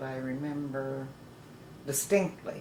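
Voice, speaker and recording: Noticeable background noise and audible room echo around a woman talking at a fairly slow pace. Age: 70s. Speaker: retired rodeo trick rider. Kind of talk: oral history interview.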